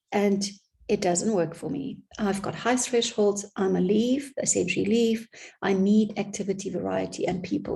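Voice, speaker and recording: At a moderate pace, a woman of medium pitch speaks in a dark, mellow tone with vocal fry. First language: not English. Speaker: business consultant. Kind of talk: vlog monologue. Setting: home office.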